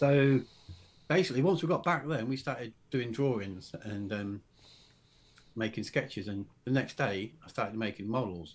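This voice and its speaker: His intonation is lively. He is a man with a British accent. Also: medium pitch for a man, moderate pace. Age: 60s. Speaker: author and UFO witness. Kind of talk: interview.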